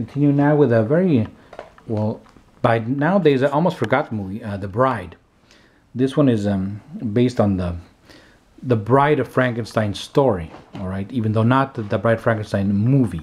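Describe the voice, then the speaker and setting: A man talks with ordinary pitch variation. He leaves long, frequent pauses. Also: moderate pace. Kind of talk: casual show-and-tell commentary. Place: home room.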